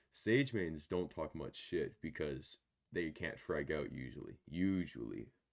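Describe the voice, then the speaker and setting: A man speaks at a very deep, low pitch. His voice carries vocal fry. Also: lively intonation, fairly slow pace. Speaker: gaming YouTuber. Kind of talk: casual chat.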